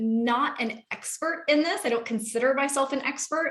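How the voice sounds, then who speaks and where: With an American accent, a woman in a plain, everyday voice talks at a moderate pace with ordinary pitch variation. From Seattle, US Pacific Northwest. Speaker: real estate investor and webinar host. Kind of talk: webinar presentation.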